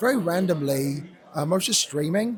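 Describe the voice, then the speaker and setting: With an English accent, a man talks at a moderate pace and a fairly high pitch. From England. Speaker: esports caster. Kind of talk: casual interview.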